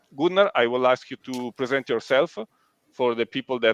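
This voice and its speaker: In an Italian accent, a man speaks at a medium pitch and moderate pace with ordinary pitch variation, in a dry, close sound with no echo. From Italy. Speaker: live stream host. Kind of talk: live stream interview. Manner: halting, many fillers.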